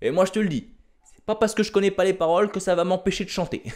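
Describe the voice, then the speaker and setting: An animated man talks at a very fast pace. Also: quiet background. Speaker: stand-up comedian. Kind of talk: stand-up comedy routine, storytelling with jokes. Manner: animated, punchy, exaggerated delivery with slangy asides. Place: home room. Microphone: handheld.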